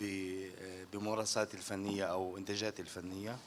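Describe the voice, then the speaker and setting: The man's pitch is fairly low, and his intonation is monotone and flat. He speaks at a fairly slow pace. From Gaza, Palestine. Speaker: visual artist. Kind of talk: panel talk via interpreter. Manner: halting.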